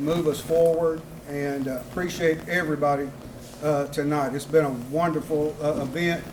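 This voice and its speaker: A man with a South Mississippi accent speaks at a moderate pace in a fairly high voice. His intonation is fairly even, and room echo is audible. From US South, South Mississippi. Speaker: city council member and former school principal. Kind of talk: campaign speech. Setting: political rally with audience.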